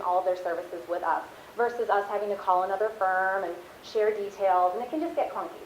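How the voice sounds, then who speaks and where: A woman rushes along at a very fast pace amid noticeable background noise and audible room echo. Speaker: marketing account supervisor, guest speaker. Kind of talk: class talk. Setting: classroom.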